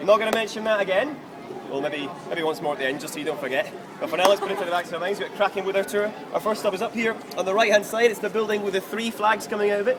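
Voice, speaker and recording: Over crowd noise and audible room echo, a man talks at a very fast pace in an animated tone, his pitch high with ordinary pitch variation. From Scotland, Kinross. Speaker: tour guide. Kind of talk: guided walking tour talk. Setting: outdoors on city street with tour group. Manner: animated, jokey.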